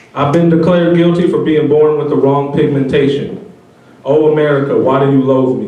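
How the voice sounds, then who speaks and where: A man speaks at a fairly quick pace in a fairly high pitch, his intonation fairly even. There is audible room echo and noticeable background noise. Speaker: spoken word poet. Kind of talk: spoken word poetry.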